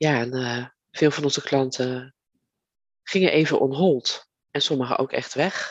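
Very slowly, a woman speaks in a very deep, low pitch. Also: fairly even intonation. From Netherlands, Leiden. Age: 50s. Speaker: podcast host, virtual assistant business owner. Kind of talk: solo podcast monologue, personal story. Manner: halting, many fillers.

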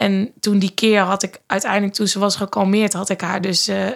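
A woman at medium pitch and a moderate pace. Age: 30s. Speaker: mother, manager. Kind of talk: casual chat. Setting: studio, at a table. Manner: hesitant with fillers.

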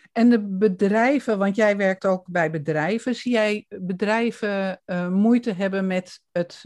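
A woman speaks very slowly at a medium pitch. Her pitch varies in an ordinary way. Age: 60s. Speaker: podcast host and coach. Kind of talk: interview. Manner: hesitant, many fillers.

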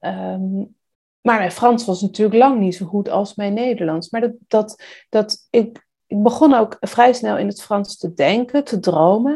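A woman with a fairly high pitch and a dark, mellow tone talks at a fairly slow pace with ordinary pitch variation. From Netherlands, South Holland (Rijnsburg). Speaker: illustrator. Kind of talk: interview. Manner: hesitant.

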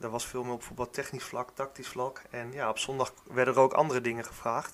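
A man at a medium pitch and moderate pace. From Netherlands, Gelderland (Warnsveld). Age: 30s. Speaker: football club youth coordinator. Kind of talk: podcast interview. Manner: hesitant, many fillers.

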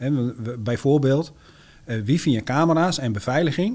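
A man with an ordinary speaking voice and fairly high pitch talks with ordinary pitch variation in a very clean recording with a silent background. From Groningen province, Netherlands. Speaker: entrepreneur. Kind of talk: interview.

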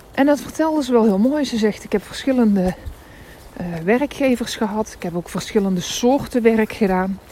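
A woman speaks at a fairly high pitch, with noticeable background noise behind her. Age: 30s. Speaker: career coach and podcaster. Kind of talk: casual monologue. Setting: outdoors, walking in snow.

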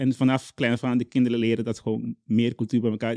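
A man with a Caribbean Dutch accent at a very fast pace. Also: dry, close sound with no echo. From Curaçao. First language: Papiamentu (speaking Dutch). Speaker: children's book author. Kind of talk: interview. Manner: halting.

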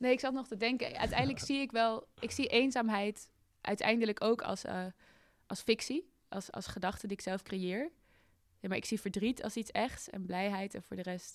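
A woman with an unremarkable speaking voice talks at a moderate pace and fairly high pitch with ordinary pitch variation, on a very clean recording with a silent background. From Netherlands, Amsterdam. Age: 20s. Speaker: climate activist. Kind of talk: interview conversation. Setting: studio in a building in the woods.

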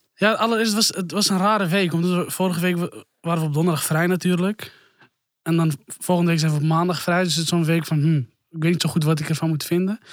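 Talking at a very fast pace, a man keeps a high pitch, fairly even intonation and very even loudness. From Amsterdam. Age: 20s. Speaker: youth worker. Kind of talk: casual chat.

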